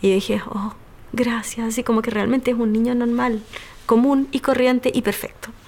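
A woman's flat, monotone delivery is heard against noticeable background noise. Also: fairly high pitch for a woman, moderate pace. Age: 30s. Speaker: physiatrist and single mother. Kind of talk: personal testimony.

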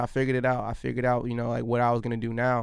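A man's medium-pitched voice with an American accent at a very fast pace. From Alabama, later Virginia Beach. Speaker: visual artist. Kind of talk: casual interview chat.

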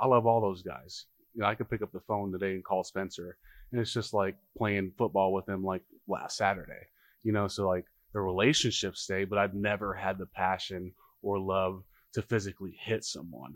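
A man with an American accent speaks in a plain, everyday voice with fairly even intonation, the sound dry and close with no echo and the recording very clean with a silent background. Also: fairly low pitch for a man, fairly quick pace. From Harlem, New York, then Nebraska from 13. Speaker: former college football offensive lineman. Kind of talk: casual podcast interview. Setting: brewery taproom.

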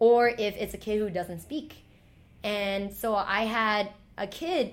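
With an American accent, a woman has an ordinary speaking voice and ordinary pitch variation. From New York City, Chinatown / Lower East Side. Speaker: storyteller and teacher. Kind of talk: casual chat.

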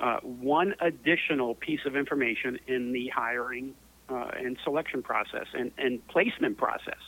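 Noticeable background noise sits behind a man with an American accent. He speaks at a moderate pace and a medium pitch, with ordinary pitch variation. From New York City. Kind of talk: interview. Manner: hesitant, many fillers.

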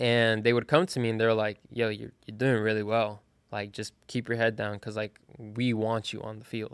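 Here a man speaks with medium pitch and fairly even intonation. His pace is moderate. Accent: American. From South Florida (Broward County). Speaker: college soccer player. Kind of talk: casual interview. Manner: hesitant, with many fillers.

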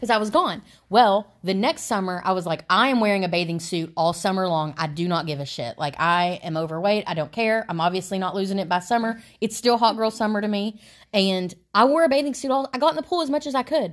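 A woman's medium-pitched voice with very wide pitch swings and a fairly quick pace, on a very clean recording with a silent background. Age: 30s. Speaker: podcast co-host. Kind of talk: casual chat.

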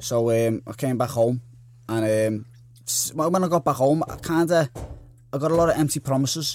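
Delivered at a moderate pace, the speech has ordinary pitch variation and long, frequent pauses. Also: man, medium pitch for a man. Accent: Liverpool. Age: 20s. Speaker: boxer. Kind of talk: interview.

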